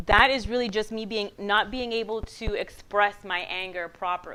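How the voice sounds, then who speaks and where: In a Puerto Rican accent, a woman talks with an animated tone at a fairly high pitch. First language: Spanish. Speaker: guest speaker. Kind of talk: motivational talk. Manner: loud.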